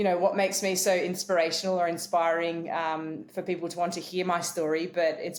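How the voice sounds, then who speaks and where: Over noticeable background noise, a woman with an Australian accent talks at a very fast pace in a fairly low pitch, with fairly even intonation. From rural New South Wales, Australia. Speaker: keynote speaker and former professional cricketer. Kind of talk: interview testimony.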